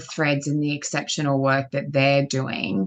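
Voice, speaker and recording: A woman with an Australian accent speaks at a moderate pace in a very deep, low voice. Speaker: guest commentator. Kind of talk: casual chat.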